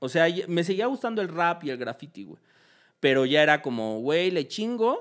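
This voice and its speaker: In a very clean recording with a silent background, a man talks at a moderate pace in a high voice, with very wide pitch swings and big swings in loudness. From Mexico. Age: 20s. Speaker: graffiti artist and festival decorator. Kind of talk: casual chat. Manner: casual, heavy slang.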